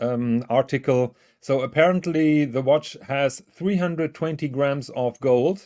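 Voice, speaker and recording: A man with a dark, mellow tone talks at a fairly slow pace, with ordinary pitch variation and a quiet background. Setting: online voice call.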